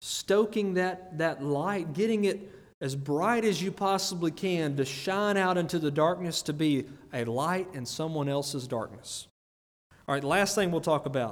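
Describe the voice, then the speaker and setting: With an Alabama accent, the speaker talks at a fairly slow pace with ordinary pitch variation in a room with audible echo. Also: man, high pitch for a man. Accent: US Southern (Alabama). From Greene County, Alabama. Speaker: lay preacher. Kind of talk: sermon. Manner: repeats words, hesitant starts.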